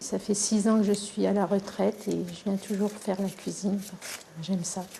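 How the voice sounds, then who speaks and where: Speaking at a fairly slow pace, a woman of medium pitch keeps a fairly even intonation. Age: 60s. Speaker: retired vineyard cook. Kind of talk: interview.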